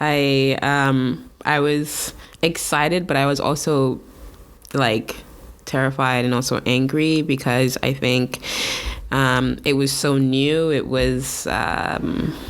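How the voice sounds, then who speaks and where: Delivered at a very slow pace, the speech has very even loudness and monotone, flat intonation. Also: woman, very deep, low pitch for a woman. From Saint Vincent and the Grenadines. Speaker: tattoo artist and painter. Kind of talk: casual interview chat. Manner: halting, many fillers.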